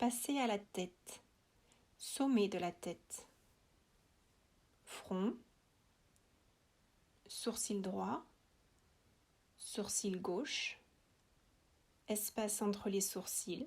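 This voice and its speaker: A woman speaks at a very slow pace, leaving long, frequent pauses. Her voice is somewhat breathy, with ordinary pitch variation. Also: medium pitch for a woman. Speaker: yoga nidra guide. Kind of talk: guided relaxation.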